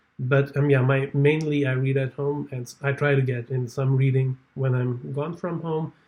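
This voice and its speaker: A somewhat breathy voice with a non-native accent moves at a moderate pace in a flat monotone, with hardly any pauses. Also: man, fairly high pitch for a man. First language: not English. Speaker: booktuber. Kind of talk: casual vlog talk. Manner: halting.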